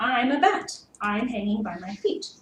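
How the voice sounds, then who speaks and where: A woman puts on a character voice, high-pitched and swinging very widely up and down. A slight echo trails her words. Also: moderate pace. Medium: read story.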